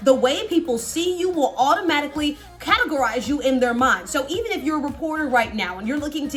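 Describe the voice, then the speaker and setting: A woman's high-pitched voice with lively intonation at a fairly quick pace, music in the background. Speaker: news anchor. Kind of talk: casual talk to camera, tutorial.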